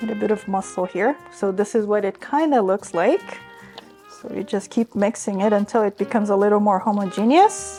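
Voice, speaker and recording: Over music in the background, a woman speaks fairly quickly at a medium pitch with ordinary pitch variation. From Brazil. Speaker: registered dietitian. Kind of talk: cooking tutorial.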